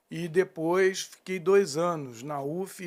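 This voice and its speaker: A man with a high pitch and ordinary pitch variation is heard in a very clean recording with a silent background. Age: 60s. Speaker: landscape architect. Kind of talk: interview. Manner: halting.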